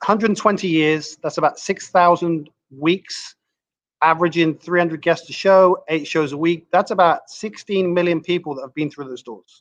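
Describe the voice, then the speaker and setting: A high-pitched man's voice with fairly even intonation and big swings in loudness, against a quiet background. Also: moderate pace. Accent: English. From England, Southwest London. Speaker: comedy club manager. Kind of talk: casual interview chat. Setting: live stream video call.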